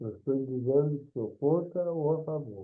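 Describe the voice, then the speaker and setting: A man speaks at a medium pitch. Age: 80s+. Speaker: retired judge, event moderator. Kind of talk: panel moderation.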